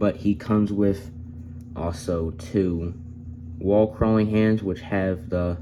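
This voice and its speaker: A man with a very deep, low pitch and a dark, mellow tone speaks at a very slow pace. His intonation is fairly even, with long, frequent pauses. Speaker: toy reviewer. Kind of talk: product review. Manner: hesitant fillers.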